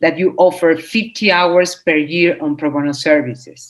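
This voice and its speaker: A woman speaks in a Spanish accent at a fairly low pitch. Her pace is moderate. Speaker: legal nonprofit representative. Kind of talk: interview. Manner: halting, many fillers and repeats.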